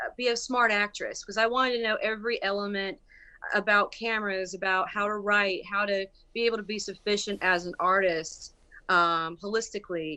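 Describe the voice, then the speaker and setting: Her Southern US accent and bright, sharp tone mark this woman, who speaks at a moderate pace and medium pitch. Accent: Southern country accent, come back. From US South, rural Bladen County, North Carolina. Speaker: musician and actress. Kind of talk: interview. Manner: halting, many fillers.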